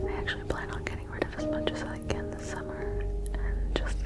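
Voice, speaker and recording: Someone is whispering over music in the background. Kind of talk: ASMR room tour. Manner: whispered.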